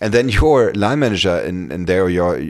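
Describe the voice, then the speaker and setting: On a very clean recording with a silent background, a man with a German accent talks at a moderate pace in a very deep, low pitch. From Germany. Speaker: career coach and podcast host. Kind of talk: solo podcast monologue. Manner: halting, many fillers and repetitions.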